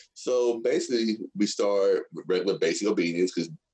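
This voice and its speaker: A man speaks with a Texan accent. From Texas. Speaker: dog trainer and Air Force veteran. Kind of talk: casual interview chat.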